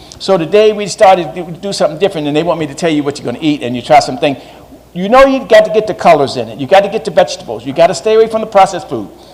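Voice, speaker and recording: Very fast speech from a man with a high pitch, noticeable background noise behind it. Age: 60s. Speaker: community organizer speaking on food and health. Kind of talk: talk to a live audience.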